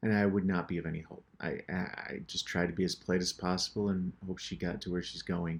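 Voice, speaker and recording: In a very clean recording with a silent background, a man with an American accent speaks with a very deep, low pitch. His pace is fairly quick and his intonation monotone and flat. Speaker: painter and show host. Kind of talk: casual narration over painting tutorial. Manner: casual, with hesitations and repetitions.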